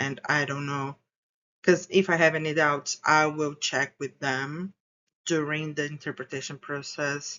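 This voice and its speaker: A woman with a very deep, low pitch and a non-native accent at a moderate pace. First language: not English. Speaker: graduate student researcher. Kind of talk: academic presentation. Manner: halting.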